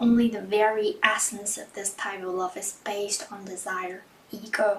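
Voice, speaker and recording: The speech moves at a moderate pace with a non-native accent. Noticeable background noise runs underneath. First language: not English. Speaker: vlogger. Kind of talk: reading aloud; casual vlog. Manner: halting.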